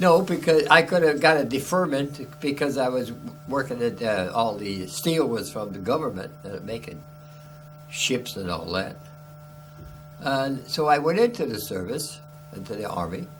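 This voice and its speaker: Over background music in a room with audible echo, a man with an American accent speaks at medium pitch and a fairly slow pace, his pitch swinging very widely between long, frequent pauses. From Chicago. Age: 90s. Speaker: war veteran. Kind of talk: oral history interview. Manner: halting.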